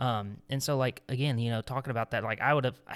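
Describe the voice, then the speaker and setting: At a fairly quick pace, a man with a medium pitch and fairly even intonation uses an unremarkable speaking voice, recorded very cleanly against a silent background. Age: 20s. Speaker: podcast co-host. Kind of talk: casual chat with devotional segment.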